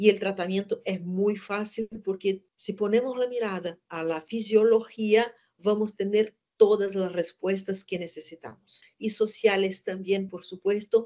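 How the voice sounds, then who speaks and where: Speaking at a fairly slow pace with hardly any pauses, a woman with a Brazilian accent shows big swings in loudness. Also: medium pitch for a woman, fairly even intonation. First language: Portuguese (speaking Spanish). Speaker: gynecologist and lecturer. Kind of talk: lecture. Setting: webinar. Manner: hesitant, with fillers.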